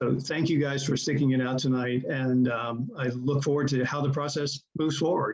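A man with an unremarkable speaking voice talks at a moderate pace with hardly any pauses. His pitch is fairly high, his intonation fairly even and his loudness very even. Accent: American. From Charlottesville, Virginia, US South. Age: 60s. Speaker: public commenter, resident. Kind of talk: public comment at meeting.

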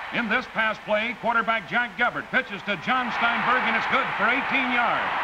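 A man speaks with an extremely high pitch and fairly even intonation at a moderate pace. His loudness stays very even, with crowd noise in the background. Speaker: sports broadcaster. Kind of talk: sports newsreel voice-over. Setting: vintage 1950s film audio.

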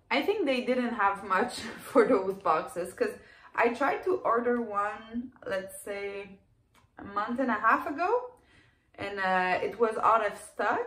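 A woman speaks with a French Canadian accent at a fairly slow pace. Her voice carries audible room echo. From Quebec, Canada. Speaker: clothing reseller. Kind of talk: casual talk to camera. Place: home room. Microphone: phone near.

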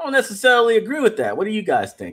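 A man's lively intonation against a quiet background. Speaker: livestream host. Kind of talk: livestream commentary reading chat comments. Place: home room.

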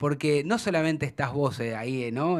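Against a quiet background, a man speaks with a Rioplatense accent. His pitch is fairly high and his intonation lively. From Argentina. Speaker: sports show host. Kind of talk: interview. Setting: studio. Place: studio. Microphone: studio mic.

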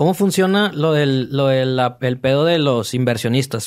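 A man's voice, fairly high in pitch. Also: quiet background. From Mexico. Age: 30s. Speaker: podcast host. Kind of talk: casual interview. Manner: animated. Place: studio. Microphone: studio mic.

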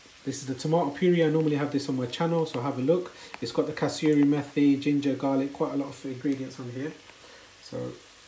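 Speech comes at a fairly quick pace with light background noise and audible room echo. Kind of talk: cooking tutorial. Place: kitchen. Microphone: phone near.

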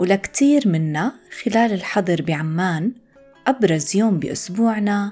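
Over music in the background, a woman with an intermediate pitch talks at a very slow pace with lively intonation in a Jordanian accent. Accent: Levantine Arabic (Jordanian). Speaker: Arabic teacher, podcast host. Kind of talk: scripted language-lesson reading.

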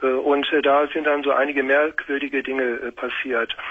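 Intonation stays monotone and flat for this man. His pitch is fairly high and his pace moderate. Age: 50s. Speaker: caller. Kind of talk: phone-in talk. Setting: phone call. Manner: halting. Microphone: echo on the line; phone line.

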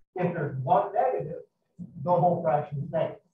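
A man's high voice carries audible room echo over light background noise. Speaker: math teacher. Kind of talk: lecture. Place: classroom.

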